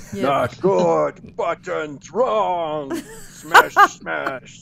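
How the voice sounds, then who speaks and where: A man puts on a character voice over loud background noise. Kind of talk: broken, blunt. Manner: grunting, simple, crude.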